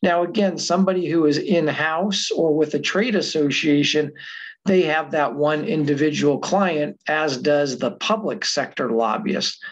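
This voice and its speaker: The speech comes at a fairly slow pace with very even loudness and ordinary pitch variation. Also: man. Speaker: guest, adjunct professor. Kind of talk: lecture. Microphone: webcam.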